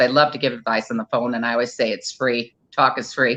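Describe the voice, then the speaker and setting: The tone here is bright and sharp. It belongs to a woman talking in an American accent. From Iowa, US Midwest. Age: 60s. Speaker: wedding planner. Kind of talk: interview.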